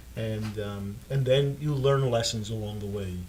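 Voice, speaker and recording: A man talks at a fairly slow pace in a fairly low pitch with ordinary variation. Audible room echo surrounds his voice. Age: 70s. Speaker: dentist and author. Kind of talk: interview. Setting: studio. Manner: halting, many fillers and repeats.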